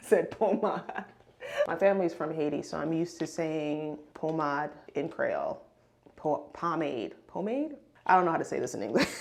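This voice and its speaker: A woman's normal speaking voice, fairly low in pitch, with an American accent, lively intonation and a moderate pace. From Brooklyn, New York. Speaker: beauty and fashion content creator. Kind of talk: casual get-ready-with-me chat.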